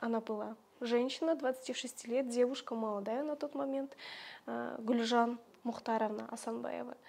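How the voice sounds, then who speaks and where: A woman's high-pitched, dark, mellow voice at a very slow pace, with fairly even intonation and long, frequent pauses. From Kazakhstan, rural village. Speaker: Kazakh language teacher and social media creator; Kazakh language teacher, social media creator. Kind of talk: interview. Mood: warm, reminiscing. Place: home room. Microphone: lapel.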